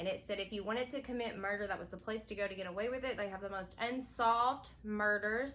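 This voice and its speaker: A woman with a Kentucky accent and a bright, sharp tone, fairly high in pitch, at a very fast pace with fairly even intonation. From Kentucky, McCreary County (rural Appalachia). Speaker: new video creator, channel co-host. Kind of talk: casual chat.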